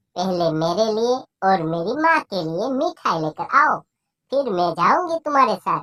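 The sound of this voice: A cartoonish character voice, female-sounding and fairly high-pitched, with very wide pitch swings at a moderate pace.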